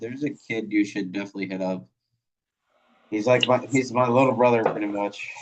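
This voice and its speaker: At a fairly quick pace, a man with an American accent talks at medium pitch with fairly even intonation and long, frequent pauses. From Iowa, US Midwest. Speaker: podcast host. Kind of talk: casual interview chat. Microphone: phone mics.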